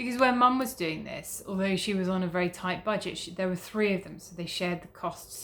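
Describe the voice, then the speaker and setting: A woman with a British accent talks at a fairly quick pace, at medium pitch and with ordinary pitch variation. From Britain. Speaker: travel vlogger. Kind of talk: casual vlog. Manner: hesitant with many fillers.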